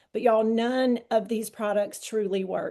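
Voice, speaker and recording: With a Southern US accent, a woman speaks at a fairly high pitch in a dark, mellow tone. Her pace is moderate, and the background is quiet. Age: 60s. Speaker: wellness product promoter. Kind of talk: testimony.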